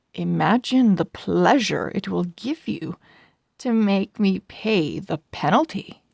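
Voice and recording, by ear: Against quiet surroundings, the speaker is reading aloud in a natural voice.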